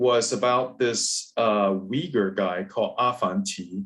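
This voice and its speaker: Speaking at a very slow pace with a Cantonese accent, a man uses a medium pitch. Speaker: professor and moderator. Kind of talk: webinar discussion. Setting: video call.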